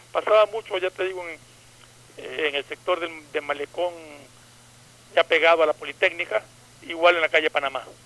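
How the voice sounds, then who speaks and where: The pace is very fast, with ordinary pitch variation. Noticeable background noise is present. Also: man. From Ecuador, coastal (Manta). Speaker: radio panelist. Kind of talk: casual chat.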